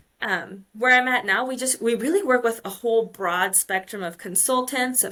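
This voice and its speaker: With an American accent, a woman speaks in a bright, sharp tone on a very clean recording with a silent background. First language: Polish. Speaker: mining engineer. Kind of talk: podcast interview. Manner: conversational, many fillers.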